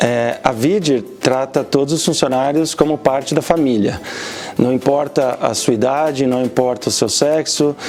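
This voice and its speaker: Noticeable background noise sits behind a man speaking at a fairly quick pace. His pitch is medium, with ordinary pitch variation. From Brazil. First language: Portuguese. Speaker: automation engineer. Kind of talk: interview answers.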